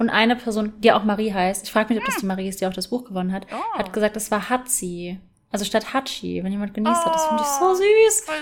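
Over noticeable background noise, a woman talks at a very fast pace with ordinary pitch variation. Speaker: podcast co-host. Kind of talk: casual chat.

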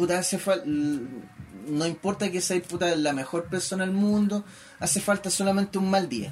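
A moderate pace with ordinary pitch variation, in a Chilean accent. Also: man, high pitch for a man. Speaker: podcast co-host. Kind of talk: casual chat.

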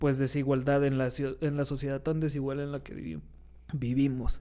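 Music plays in the background as a man talks at a moderate pace. His fairly high voice stays monotone and flat. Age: 20s. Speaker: podcast co-host, political scientist. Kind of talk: casual chat.

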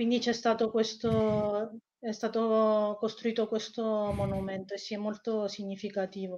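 A woman speaks with a dark, mellow tone and a fairly high pitch. Her pace is fairly slow and her intonation monotone and flat. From Italy. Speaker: researcher on Iran. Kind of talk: interview.

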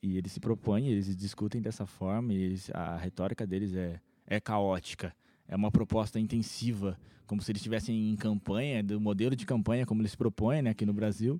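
A man with a fairly low pitch and a dark, mellow tone speaks at a fairly quick pace on a very clean recording with a silent background. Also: fairly even intonation. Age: 20s. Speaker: podcast host. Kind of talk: casual chat.

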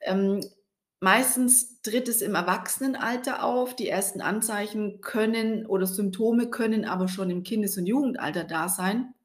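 A woman's somewhat breathy voice sits fairly high in pitch, moving at a moderate pace with ordinary pitch variation. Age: 40s. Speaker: podcast host and skin health coach. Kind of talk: personal storytelling monologue.

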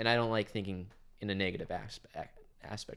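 A man with a Midwestern American accent talks fairly quickly at a fairly low pitch with fairly even intonation. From Kansas, US. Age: 20s. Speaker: college student and dorm RA. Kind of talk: casual chat.

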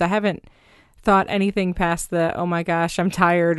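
A woman with an unremarkable speaking voice, fairly low in pitch, at a fairly quick pace against a quiet background. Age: 30s. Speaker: podcast host and small business owner. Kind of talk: casual chat. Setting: home closet studio.

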